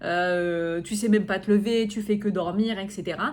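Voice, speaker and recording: Amid audible room echo, a woman of medium pitch speaks at a fairly slow pace with fairly even intonation. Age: 30s. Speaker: podcast host and coach. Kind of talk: personal podcast monologue. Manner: hesitant, many fillers.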